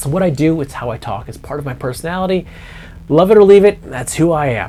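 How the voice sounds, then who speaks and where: A man is talking, and noticeable background noise can be heard. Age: 40s. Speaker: hobbyist guitar youtuber. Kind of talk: casual vlog monologue. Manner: rambling, hesitant with repetitions.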